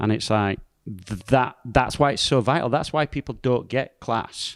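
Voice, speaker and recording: Recorded very cleanly against a silent background, a man with a Yorkshire accent speaks at a moderate pace, with medium pitch and ordinary pitch variation. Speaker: pastor. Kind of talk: casual podcast discussion.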